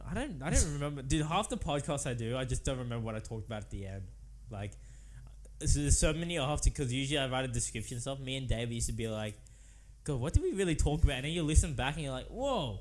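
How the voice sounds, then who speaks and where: In an Australian accent, a man speaks very fast with lively intonation, vocal fry and big swings in loudness. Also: medium pitch for a man. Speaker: podcast host. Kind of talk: casual chat. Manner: animated.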